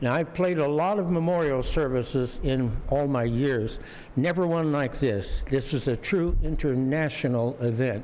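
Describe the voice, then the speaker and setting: With ordinary pitch variation and a fairly high pitch, a man's voice rings with audible room echo. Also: moderate pace, very even loudness. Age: 80s+. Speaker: jazz organist and composer. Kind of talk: casual talk to concert audience. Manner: halting, many fillers.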